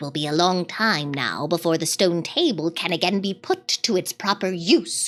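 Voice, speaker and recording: A woman performs a put-on character voice at a fairly low pitch. She keeps a moderate pace with hardly any pauses. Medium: read story. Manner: low, grim.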